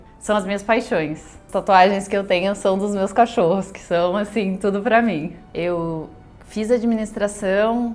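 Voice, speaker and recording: This woman has a normal speaking voice at medium pitch, talking at a fairly slow pace with fairly even intonation. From southern Brazil, Rio Grande do Sul interior and Porto Alegre. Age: 30s. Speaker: vegan pastry school founder. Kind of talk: personal life story interview.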